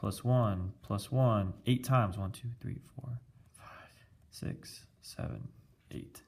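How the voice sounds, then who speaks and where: A somewhat breathy man at medium pitch, at a very slow pace with fairly even intonation and big swings in loudness. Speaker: teacher. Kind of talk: math lesson tutorial. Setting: recorded with iPad video.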